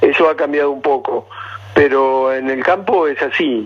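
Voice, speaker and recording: A man speaks at a fairly slow pace with a fairly high pitch and ordinary pitch variation. Noticeable background noise runs under the recording. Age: 60s. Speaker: paleontologist. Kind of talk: radio interview.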